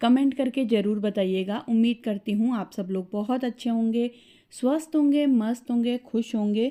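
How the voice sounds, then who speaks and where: On a very clean recording with a silent background, a woman with a dark, mellow tone speaks at a fairly high pitch with ordinary pitch variation. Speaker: family vlogger. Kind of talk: casual vlog talk.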